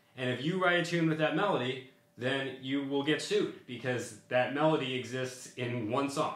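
A man talks at a moderate pace with ordinary pitch variation. Room echo can be heard. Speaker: music teacher. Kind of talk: tutorial. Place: home room.

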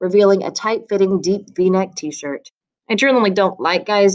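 A natural reading voice with fairly even intonation is heard over a quiet background.

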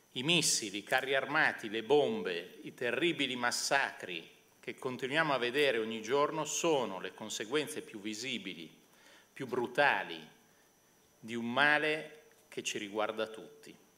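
A man's bright, sharp tone at a fairly slow pace, with lively intonation and big swings in loudness. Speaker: moderator and university professor. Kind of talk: moderated public event. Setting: stage with audience. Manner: halting. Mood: serious, reflective. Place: hall. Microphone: podium.

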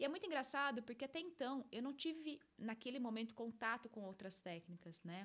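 With lively intonation and a high pitch, a woman talks at a fairly quick pace. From interior of São Paulo state, Brazil (Limeira). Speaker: life coach and podcast host. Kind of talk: solo monologue podcast, personal story. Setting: studio. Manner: animated. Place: studio. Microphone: studio mic.

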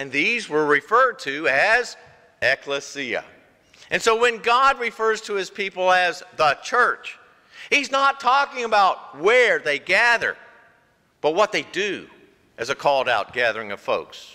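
Against a quiet background, a man speaks at a fairly slow pace in a raised, projected voice. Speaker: pastor. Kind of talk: sermon. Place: church.

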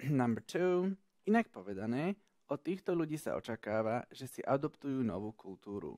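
A man's medium-pitched voice with a dark, mellow tone and very wide pitch swings at a moderate pace, dry and close with no echo, on a very clean recording over a silent background. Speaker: English teacher. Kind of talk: tutorial.

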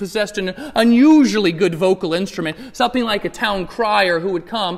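The pitch moves an ordinary amount. Someone reads aloud in a natural voice.

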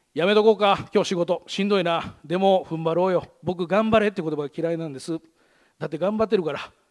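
Against a quiet background, a man with a high pitch speaks at a very fast pace with ordinary pitch variation. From Gunma, Japan; Japan. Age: 40s. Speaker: radio host. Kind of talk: presentation talk; public talk. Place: stage. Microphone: headset.

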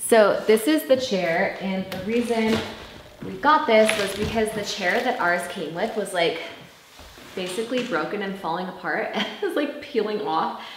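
Amid audible room echo and noticeable background noise, a woman talks at a moderate pace. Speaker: vlogger. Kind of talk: casual vlog chat. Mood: excited, cheerful. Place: home room. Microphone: camera far.

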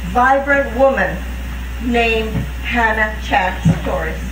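A woman draws out her words very slowly against clearly audible background noise. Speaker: speaker. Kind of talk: memorial speech. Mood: solemn, emotional. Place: open country. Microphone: podium.

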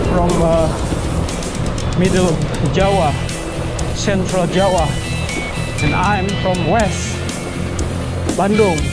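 Over loud background music, the speaker goes at a very slow pace with long, frequent pauses. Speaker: cyclist vlogger. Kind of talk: casual vlog chat. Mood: relaxed, halting. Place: bicycle. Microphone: phone near.

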